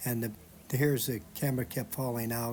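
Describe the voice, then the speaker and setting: Music plays in the background as a man speaks. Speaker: retired expat YouTuber. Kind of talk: casual talk to camera.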